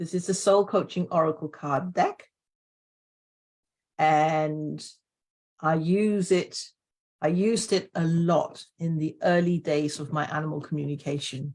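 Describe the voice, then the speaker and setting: At a fairly slow pace, a woman with a fairly low pitch speaks with long, frequent pauses. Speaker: animal communicator and author. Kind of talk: live stream chat. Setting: Facebook live stream. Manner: animated.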